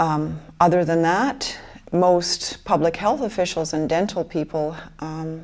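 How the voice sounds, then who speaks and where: A woman with an American accent speaks at a fairly slow pace in an unremarkable speaking voice. Her pitch sits fairly low, with ordinary variation. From Michigan, US (Grand Rapids). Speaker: interviewee, fluoride-affected person. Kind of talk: documentary interview, personal testimony.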